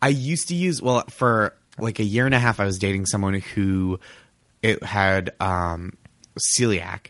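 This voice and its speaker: A plain, everyday voice: a man with an American accent, fairly low pitch and ordinary pitch variation. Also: fairly slow pace. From US Northeast, Boston. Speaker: comedian and TV writer. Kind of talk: casual chat.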